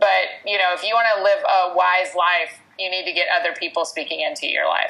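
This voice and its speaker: Noticeable background noise sits under a woman talking at a fairly quick pace. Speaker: author and speaker. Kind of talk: interview. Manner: loud.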